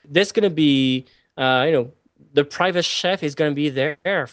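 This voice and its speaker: Someone talks at a moderate pace with a French accent and ordinary pitch variation, the sound dry and close with no echo against a quiet background. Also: man. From France. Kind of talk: interview.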